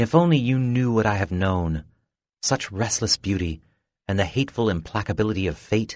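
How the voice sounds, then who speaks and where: A man's soft-spoken, breathy put-on character voice, fairly low in pitch, at a moderate pace. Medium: read story. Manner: sighing, melancholy.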